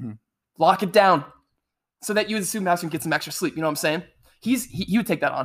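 Delivery is animated and very fast, yet has long, frequent pauses. The recording is very clean, with a silent background. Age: 20s. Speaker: youth ministry podcast co-host. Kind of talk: casual chat.

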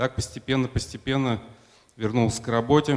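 Man at medium pitch, moderate pace and ordinary pitch variation. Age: 50s. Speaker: church member giving testimony. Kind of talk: testimony.

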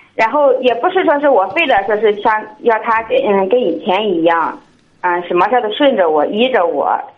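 A woman with a fairly high pitch talks at a moderate pace, her pitch swinging very widely. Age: 20s. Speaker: caller seeking marriage advice. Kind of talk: call-in advice conversation. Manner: halting.

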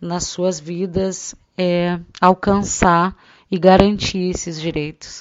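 A woman at a very slow pace, her pitch fairly low. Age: 30s. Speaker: interviewer and daughter. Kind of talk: personal testimony.

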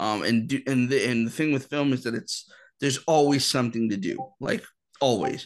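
Here a man talks at a fairly quick pace in a normal speaking voice. His pitch is medium, with ordinary variation. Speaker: filmmaker. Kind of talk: casual interview.

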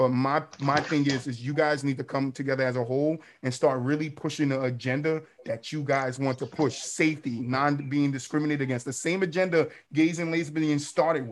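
A man's ordinary speaking voice, fairly high in pitch, at a fairly quick pace with fairly even intonation. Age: 30s. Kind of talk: casual chat.

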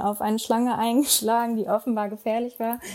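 A woman speaks with a fairly high pitch. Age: 20s. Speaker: digital nomad, content marketer. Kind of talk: interview.

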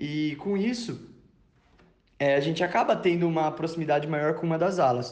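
A man talks at a moderate pace in a fairly high pitch with ordinary pitch variation. He takes long, frequent pauses, and audible room echo is present. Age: 20s. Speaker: engineering student. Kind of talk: testimony. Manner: halting, with fillers and repetitions.

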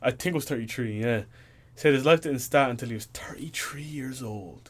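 Moderate pace marks this man's speech. His pitch sits in the medium range. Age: young. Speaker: podcast host. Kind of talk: casual solo monologue. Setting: home office.

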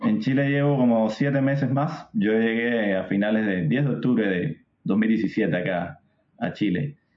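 Spoken with a Cuban accent, the voice has lively intonation, very even loudness and a fairly slow pace. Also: man, medium pitch for a man. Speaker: software tech lead. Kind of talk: casual interview.

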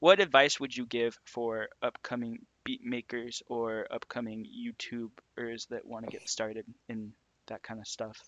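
In an ordinary speaking voice, a man at medium pitch talks at a fairly slow pace with fairly even intonation and big swings in loudness. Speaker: podcast host. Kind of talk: casual chat.

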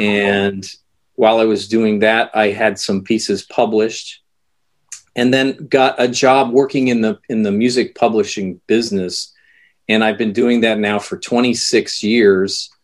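A man with an unremarkable speaking voice, medium pitch, fairly even intonation and a fairly slow pace. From United States. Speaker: composer and music educator. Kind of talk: interview. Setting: video call.

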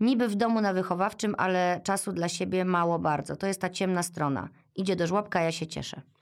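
This is a very clean recording with a silent background. A woman speaks at a medium pitch with fairly even intonation. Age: 40s. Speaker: podcast host, mother of three. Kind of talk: casual interview conversation.

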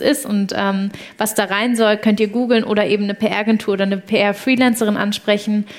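This woman talks fairly quickly. Her voice sits fairly high. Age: 20s. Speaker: startup founder. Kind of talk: live podcast interview before an audience. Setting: university venue with live audience. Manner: animated.

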